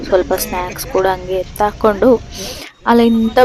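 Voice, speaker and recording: A woman talks at medium pitch with fairly even intonation. Noticeable background noise is present. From India, Karnataka, Gundlupet area. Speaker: vlogger. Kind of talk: travel vlog narration. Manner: halting, many pauses.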